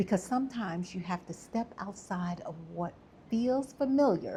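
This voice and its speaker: Lively intonation marks a woman's somewhat breathy, dark, mellow voice with an American accent. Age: 60s. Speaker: travel vlogger. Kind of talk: scripted narration. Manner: animated.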